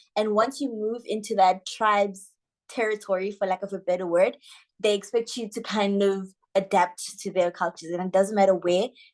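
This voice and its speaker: Over a quiet background, a woman with a Lesotho accent talks at a moderate pace, using a medium pitch and fairly even intonation. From South Africa. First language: Sesotho. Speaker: social media manager. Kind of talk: interview.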